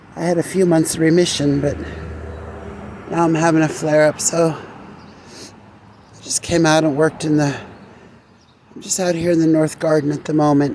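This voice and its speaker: A woman's very deep, low-pitched voice at a moderate pace, with monotone, flat intonation over noticeable background noise. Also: long, frequent pauses. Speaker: gardening vlogger. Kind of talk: casual vlog. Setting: outdoors in garden. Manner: subdued.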